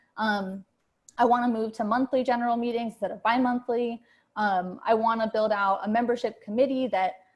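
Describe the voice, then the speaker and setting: A woman speaks fairly quickly in a fairly high pitch, her intonation monotone and flat. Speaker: candidate for chapter co-chair. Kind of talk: campaign speech. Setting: video call. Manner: fast; many fillers, halting.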